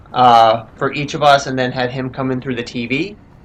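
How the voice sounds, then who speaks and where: A man with an unremarkable speaking voice talks at a medium pitch with fairly even intonation. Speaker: gaming channel co-host. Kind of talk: casual chat.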